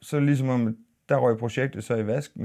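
A man speaks in a dark, mellow tone with ordinary pitch variation. The background is quiet. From Denmark, Aarhus. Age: 40s. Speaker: YouTuber and minibus driver. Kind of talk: casual vlog monologue. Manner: halting, many fillers and repeats. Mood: calm, reflective. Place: studio.

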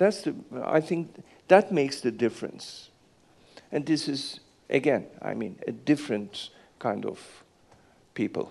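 Here a man talks at a fairly slow pace. He leaves long, frequent pauses. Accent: Turkish. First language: Turkish. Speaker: business executive. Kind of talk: fireside chat. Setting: stage with audience. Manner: halting.

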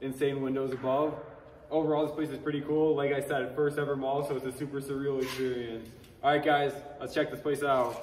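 A man's flat, monotone voice at a fairly quick pace, with audible room echo and light background noise. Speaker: urban explorer host. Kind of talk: casual vlog chat. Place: hall. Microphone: camera far.

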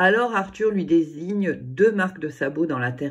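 The intonation here is lively. It is plain reading aloud.

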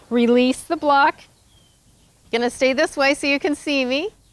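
A woman speaks at a very slow pace in a high pitch with ordinary pitch variation, and the sound is dry with no echo. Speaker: yoga instructor. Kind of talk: instruction cues in a fitness class. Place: garden. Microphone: lapel.

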